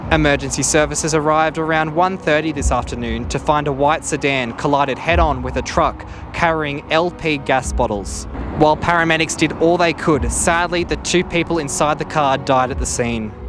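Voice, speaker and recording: A man with an Australian accent at a moderate pace, over noticeable background noise. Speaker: TV news reporter. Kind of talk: TV news report.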